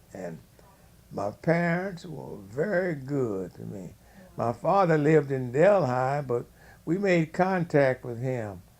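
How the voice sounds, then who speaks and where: Talking at a very slow pace, a man with a fairly high pitch keeps his intonation lively. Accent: Louisiana. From US South, Louisiana (Shreveport). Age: 80s+. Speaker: family elder interviewed. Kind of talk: oral history interview.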